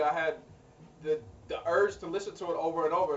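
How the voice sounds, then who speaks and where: A man with a fairly high voice talks while noticeable background noise plays behind him. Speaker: music artist video blogger. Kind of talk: video blog. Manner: halting, repeats words.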